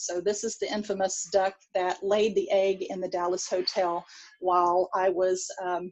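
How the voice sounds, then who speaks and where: With a Texan accent, a woman speaks at a medium pitch with fairly even intonation. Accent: Texan, can't change it. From Texas. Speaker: pediatric dentistry professor. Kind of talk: lecture. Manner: hesitant, many fillers.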